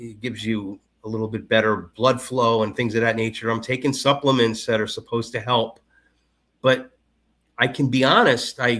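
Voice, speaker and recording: A man's bright, sharp voice at a moderate pace, flat and monotone, in a very clean recording with a silent background. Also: medium pitch for a man. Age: 50s. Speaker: conspiracy commentator guest. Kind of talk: casual chat. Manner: halting, many repetitions.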